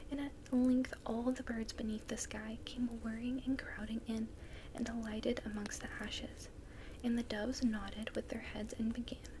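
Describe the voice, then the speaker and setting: Amid noticeable background noise, a soft-spoken woman with a fairly high pitch talks at a moderate pace in a calm tone with monotone, flat intonation. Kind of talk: soft-spoken ASMR story reading. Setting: fire crackling sounds in the background. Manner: soft-spoken, calm.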